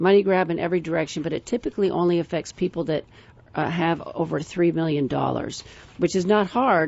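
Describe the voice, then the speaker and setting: A woman speaks at a fairly quick pace, her pitch fairly low with ordinary variation. Vocal fry shows in her voice. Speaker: financial planner radio co-host. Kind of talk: radio talk show chat. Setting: radio studio. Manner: fast.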